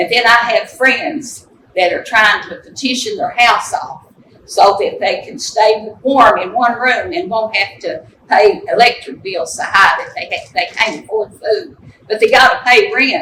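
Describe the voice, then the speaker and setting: A raised, projected voice in an Appalachian accent moves at a fairly slow pace, with very wide pitch swings and big swings in loudness. Noticeable background noise sits behind it. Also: woman, high pitch for a woman. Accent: Appalachian Kentucky. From eastern Kentucky, Letcher County. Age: 70s. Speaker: resident giving public comment. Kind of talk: public comment testimony. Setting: public meeting room with audience. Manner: impassioned.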